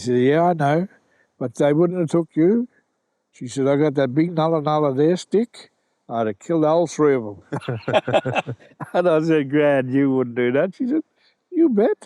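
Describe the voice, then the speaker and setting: Long, frequent pauses break up a dark, mellow voice with lively intonation, in a dry, close sound with no echo and a quiet background. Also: man, fairly high pitch for a man, moderate pace. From Australia. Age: 70s. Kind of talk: podcast interview answer.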